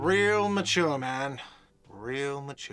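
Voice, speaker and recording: Shouting in a whiny, put-on character voice, a man speaks at a fairly high pitch with lively intonation. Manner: complaining, shouting, sarcastic.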